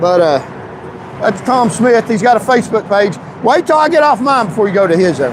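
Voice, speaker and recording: A man with a Tennessee accent speaks at a high pitch with very wide pitch swings and very even loudness. Noticeable background noise runs underneath. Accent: Southern US (Tennessee). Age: 60s. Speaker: political YouTuber and candidate. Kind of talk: live street interview. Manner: halting, repetitive; joking, casual.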